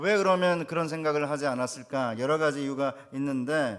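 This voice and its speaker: A man speaks at a fairly high pitch. His pace is moderate and his pitch variation ordinary. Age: 60s. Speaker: pastor. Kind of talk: sermon.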